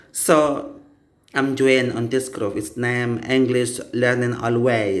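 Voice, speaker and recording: A man with an Indonesian accent speaks at a medium pitch. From Indonesia, Aceh. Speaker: English learner. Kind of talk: casual chat. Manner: halting.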